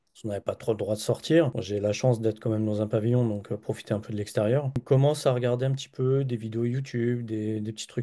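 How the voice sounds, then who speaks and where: Here is a man with a medium pitch and a dark, mellow tone. His intonation stays fairly even. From Paris region, France. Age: 40s. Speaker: data analyst and trading student. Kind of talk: interview testimony. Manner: hesitant, many fillers.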